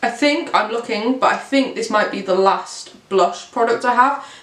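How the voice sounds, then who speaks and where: A woman with an English accent and a fairly high pitch, ordinary pitch variation, audible room echo and noticeable background noise. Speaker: beauty youtuber. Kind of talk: product review. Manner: fast.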